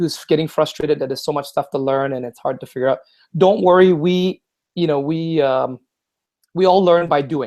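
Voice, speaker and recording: A man with a fairly high pitch, fairly quick pace and ordinary pitch variation. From Singapore and Vancouver, Canada. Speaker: online entrepreneur. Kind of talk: casual interview chat. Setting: video call. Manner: animated.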